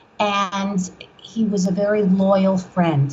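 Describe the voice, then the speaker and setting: A woman with a New York accent speaks at a medium pitch. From New York, Long Island (Brooklyn-born). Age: 60s. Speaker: author. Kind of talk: interview. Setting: podcast.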